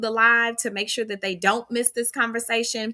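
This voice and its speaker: Loud, bright and sharp, the voice races along at a very fast pace in an animated tone. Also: woman. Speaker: live stream host. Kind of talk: casual interview. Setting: live video stream.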